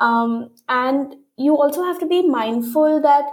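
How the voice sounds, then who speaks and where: A woman is speaking. Her pitch is high. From India. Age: 30s. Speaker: fashion designer. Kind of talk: interview. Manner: frequent fillers like um and you know.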